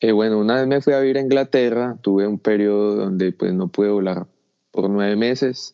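A man talks at a fairly quick pace with a fairly low pitch and ordinary pitch variation. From Colombia. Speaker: paraglider pilot. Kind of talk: interview. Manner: halting.

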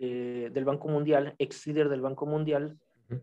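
Fairly even intonation in a plain, everyday voice. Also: man. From Mexico. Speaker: writer. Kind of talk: casual chat.

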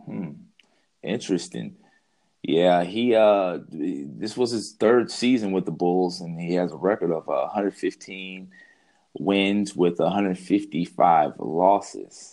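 A man against a quiet background. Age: adult. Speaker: NBA podcast co-host. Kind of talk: casual chat.

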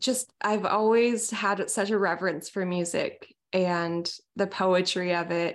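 Speaking with an American accent, a woman at medium pitch goes at a very slow pace over a quiet background. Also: very even loudness. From US Pacific Northwest, small town near Seattle. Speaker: singer-songwriter. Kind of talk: casual interview.

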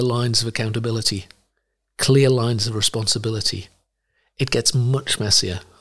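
A man speaks in a somewhat breathy voice. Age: 60s. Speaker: missionary and Bible translator. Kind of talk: interview. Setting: studio.

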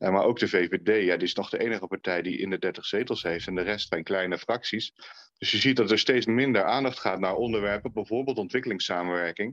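A plain, everyday voice, this man speaks at a fairly quick pace in a fairly low pitch with ordinary pitch variation. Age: 40s. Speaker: former member of parliament, children's rights consultant. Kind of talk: podcast interview.

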